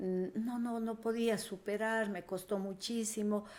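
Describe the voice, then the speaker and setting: A woman speaks at a fairly slow pace in a dark, mellow tone. Her intonation is monotone and flat. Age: 60s. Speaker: guest sharing faith testimony. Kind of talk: testimony. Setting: podcast interview.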